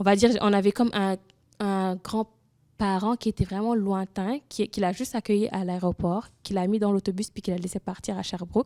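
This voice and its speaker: Her tone is dark and mellow, and this woman keeps a fairly quick pace with fairly even intonation. The recording sounds dry and close, with no echo. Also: very clean recording, silent background. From Senegal. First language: Wolof (speaking French). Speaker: immigrant woman sharing her experience. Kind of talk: testimony in a panel discussion. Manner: halting, with many restarts.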